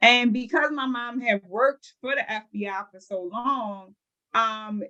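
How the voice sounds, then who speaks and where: A woman's fairly high, bright, sharp voice in a Baltimore accent, fairly slow, with ordinary pitch variation. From Baltimore, Maryland. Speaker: home care business owner. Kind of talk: interview.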